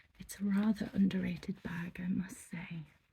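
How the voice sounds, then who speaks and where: A soft-spoken voice with a gentle tone, talking at a fairly slow pace. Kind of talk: ASMR shop roleplay, soft-spoken shopkeeper. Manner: soft-spoken, gentle, polite.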